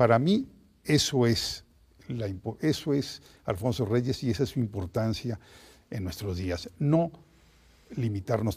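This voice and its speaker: A man's somewhat breathy, medium-pitched voice at a fairly slow pace, on a very clean recording with a silent background. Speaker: historian. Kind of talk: interview.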